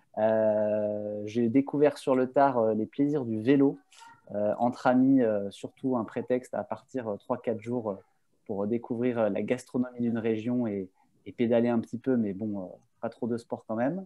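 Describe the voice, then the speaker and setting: Pitched in the medium range, a man talks at a fairly slow pace with fairly even intonation. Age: 30s. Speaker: communication agency partner. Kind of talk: casual interview.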